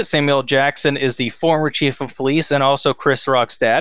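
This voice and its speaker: With an American accent, a man talks in a normal speaking voice at a fairly high pitch, on a very clean recording with a silent background. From Texas. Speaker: podcast co-host. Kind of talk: casual movie-review banter. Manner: relaxed, profane, trailing off into 'um' and 'like'.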